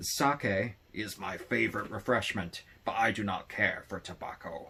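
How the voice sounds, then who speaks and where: A man in a put-on character voice, fairly low in pitch. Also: moderate pace. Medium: read story. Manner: courteous, formal.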